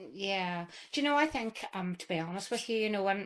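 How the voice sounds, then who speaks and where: At a moderate pace, a woman with a Northern Irish accent speaks at medium pitch. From Northern Ireland, County Tyrone. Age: 60s. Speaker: interview guest. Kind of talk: interview.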